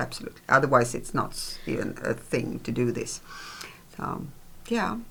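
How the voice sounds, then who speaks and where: At a moderate pace, a woman speaks with a Swedish accent. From Sweden. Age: old. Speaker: podcast co-host. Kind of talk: casual chat. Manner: halting.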